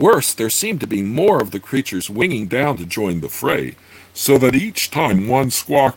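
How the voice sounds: Natural reading voice throughout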